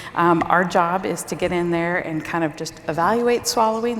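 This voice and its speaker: The voice uses ordinary pitch variation. Noticeable background noise runs underneath. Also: woman. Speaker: speech language pathologist. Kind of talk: conference presentation. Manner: informal.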